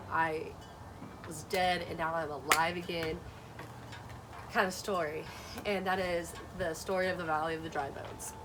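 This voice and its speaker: A woman with a Southern US accent, a fairly low pitch, monotone, flat intonation, a moderate pace and long, frequent pauses, plus noticeable background noise. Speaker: Bible study vlogger. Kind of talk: casual talk to camera. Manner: hesitant, some stuttering.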